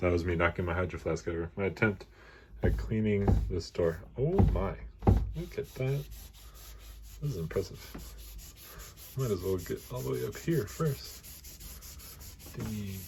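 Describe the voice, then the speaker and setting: Long pauses come often, interrupting speech that otherwise moves at a moderate pace. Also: man. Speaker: vlogger. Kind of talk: casual vlog.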